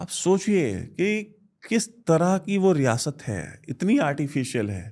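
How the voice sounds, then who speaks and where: In a very clean recording with a silent background, a man with a Bihari accent speaks at a high pitch with very wide pitch swings. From India, Varanasi (Uttar Pradesh). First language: Bhojpuri (speaking Hindi). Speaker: defence analyst. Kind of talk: interview.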